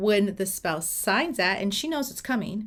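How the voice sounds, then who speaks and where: Her pitch swings very widely as this woman speaks at a fairly slow pace, her tone animated and somewhat breathy. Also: very clean recording, silent background. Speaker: divorce mediator. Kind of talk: informal tutorial. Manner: casual, animated.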